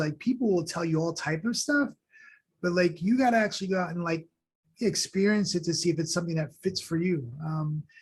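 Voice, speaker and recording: Talking very fast in a high voice, a man with a New York accent uses ordinary pitch variation. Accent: New York American. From New York, Long Island, Haitian family. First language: Haitian Creole and French. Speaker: school superintendent. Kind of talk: podcast interview.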